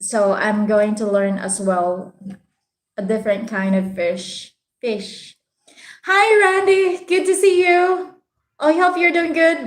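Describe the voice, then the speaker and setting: Very slowly and with long, frequent pauses, a woman in a Visayan accent speaks at a fairly high pitch with very wide pitch swings. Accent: Bisaya Filipino. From Philippines, Visayas. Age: 30s. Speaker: vlogger. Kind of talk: live stream chat with viewers. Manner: casual, hesitant with many fillers.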